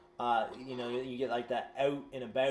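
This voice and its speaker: With noticeable background noise behind him, a man in a Southern US accent speaks at medium pitch with fairly even intonation. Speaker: tabletop game player. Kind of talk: casual chat.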